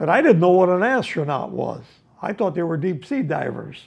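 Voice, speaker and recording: A man's high voice in a Chicago accent, lively in intonation and moderate in pace, over a quiet background. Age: 80s+. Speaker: ironworker. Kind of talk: interview answer. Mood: amused, storytelling. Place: home room.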